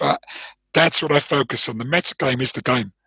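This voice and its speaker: The speaker has a London accent and a bright, sharp tone. The sound is dry and close, with no echo. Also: man. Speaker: trading performance coach, former trader. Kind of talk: interview. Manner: hesitant, many fillers.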